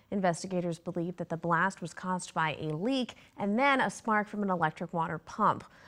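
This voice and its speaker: A woman speaks in an ordinary speaking voice at a fairly low pitch and a fairly quick pace. Behind her, the background is quiet. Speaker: TV news anchor and reporter. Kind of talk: TV news anchor read.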